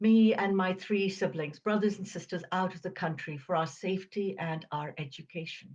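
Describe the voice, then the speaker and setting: The voice is somewhat breathy. It belongs to a woman. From Uganda, Indian family; schooled in England from age ten. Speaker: video series host. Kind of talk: personal storytelling.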